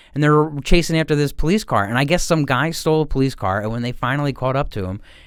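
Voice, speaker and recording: A man with a Philadelphia accent, fairly high in pitch with ordinary pitch variation, at a very fast pace, in a very clean recording with a silent background. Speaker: podcast co-host. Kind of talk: casual chat.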